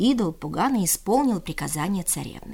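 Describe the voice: A woman's fairly low voice with a slightly mellow tone, vocal fry, lively intonation and a fairly quick pace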